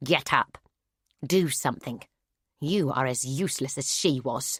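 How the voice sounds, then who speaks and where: Growling in a put-on character voice at a medium pitch, a man is heard in a dry, close sound with no echo. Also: moderate pace, ordinary pitch variation. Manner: commanding, urgent.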